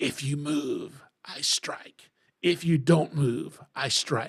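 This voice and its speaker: Raspy and hissing, a put-on character voice speaks at a very slow pace with a low-to-middle pitch. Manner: menacing, hissing.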